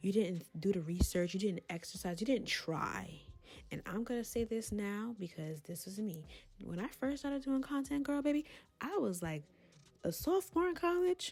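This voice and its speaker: A woman with a fairly high, somewhat breathy voice makes very wide pitch swings. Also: moderate pace. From Brooklyn, New York. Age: 20s. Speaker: content creator. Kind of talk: casual talk to camera. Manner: candid, chatty.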